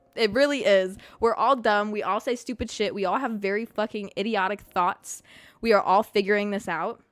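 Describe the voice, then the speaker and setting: A woman's fairly high voice at a moderate pace, with fairly even intonation and music in the background. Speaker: podcast host. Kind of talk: casual monologue. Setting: live stream. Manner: stutters.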